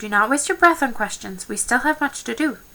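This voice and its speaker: A put-on character voice moves at a fairly quick pace. It shows very wide pitch swings and big swings in loudness. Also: woman, high pitch for a woman. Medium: read story.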